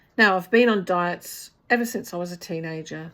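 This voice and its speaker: In a New Zealand accent, a woman talks at a fairly slow pace with ordinary pitch variation. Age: 60s. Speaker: vlogger. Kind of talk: personal vlog talk to camera.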